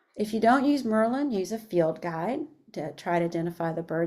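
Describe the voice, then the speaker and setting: The tone is dark and mellow, moving at a fairly quick pace with ordinary pitch variation. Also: woman. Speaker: education coordinator. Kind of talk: webinar presentation. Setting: online webinar.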